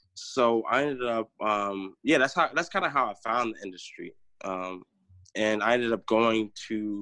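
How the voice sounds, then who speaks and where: A man with an American accent talks at a moderate pace and medium pitch, his tone bright and sharp, his pitch variation ordinary. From US Midwest, Chicago and Northwest Indiana. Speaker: sommelier and wine business founder. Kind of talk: casual interview chat. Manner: casual, frequent fillers.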